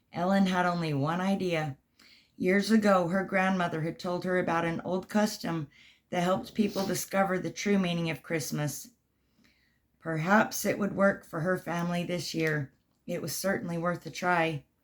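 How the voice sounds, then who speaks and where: A woman's raspy, put-on character voice at a medium pitch, with fairly even intonation and a moderate pace. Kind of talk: bedtime story. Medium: read story. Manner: gentle, warm.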